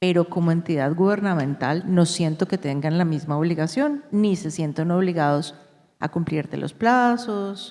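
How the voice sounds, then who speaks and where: This woman talks at a fairly slow pace with a Colombian accent. Her pitch is fairly low, with ordinary pitch variation. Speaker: company executive. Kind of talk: panel discussion. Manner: halting.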